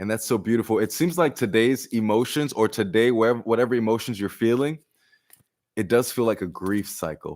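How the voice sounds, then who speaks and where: In a plain, everyday voice, a man talks at a moderate pace with ordinary pitch variation. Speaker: tarot reader. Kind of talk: live-stream tarot reading.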